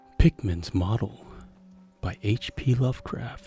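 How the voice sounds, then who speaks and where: Over music in the background, a man talks very slowly at a medium pitch, his pitch varying in an ordinary way. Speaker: storyteller. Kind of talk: horror story reading.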